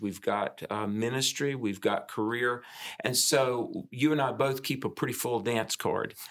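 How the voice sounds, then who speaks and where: In a normal speaking voice, a man with an American accent and medium pitch talks at a fairly slow pace with fairly even intonation, on a very clean recording with a silent background. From US South. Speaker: podcast host. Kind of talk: casual chat.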